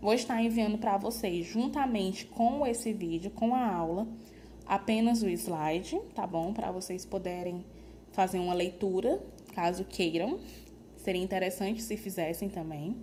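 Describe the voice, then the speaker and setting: Slowish female speech, audible echo from the room around it. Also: medium pitch for a woman, ordinary pitch variation. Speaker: nursing lecturer. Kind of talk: lecture.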